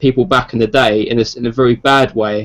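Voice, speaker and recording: A man with a London accent at a moderate pace. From South East London, England. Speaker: gaming podcast panelist. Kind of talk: casual chat. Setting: online group video call.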